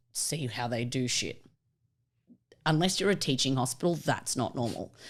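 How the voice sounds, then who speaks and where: On a very clean recording with a silent background, a woman with an Australian accent speaks at a very deep, low pitch with lively intonation. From Australia, Melbourne. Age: 30s. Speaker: vet technician and stand-up comedian. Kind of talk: casual podcast chat.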